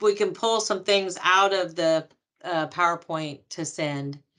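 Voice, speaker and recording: A woman's bright, sharp tone at medium pitch, fairly slow, with ordinary pitch variation and a quiet background. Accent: American. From Texas. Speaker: loan officer. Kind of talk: educational webinar.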